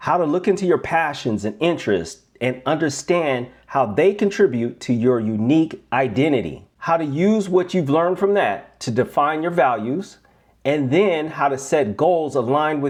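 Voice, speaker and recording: A man at a moderate pace, energetic in tone, with lively intonation. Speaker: life coach. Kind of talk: webinar presentation.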